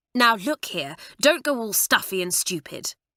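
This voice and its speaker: A woman growls through a put-on character voice at a fairly high pitch, swinging very widely in pitch at a moderate pace, with a dry, close sound and no echo. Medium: read story. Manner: urgent.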